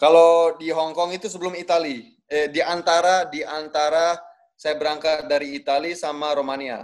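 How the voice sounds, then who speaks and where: A man with a plain, everyday voice speaks at a moderate pace, his fairly high pitch held in a fairly even intonation. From Bali, Indonesia. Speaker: professional footballer. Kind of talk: casual interview.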